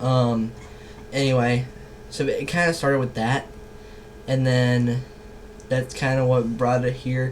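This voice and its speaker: The speech is fairly slow and monotone, with very even loudness and long, frequent pauses, heard with audible room echo and noticeable background noise. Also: man, medium pitch for a man. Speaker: YouTuber. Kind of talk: casual commentary monologue. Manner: hesitant, many fillers.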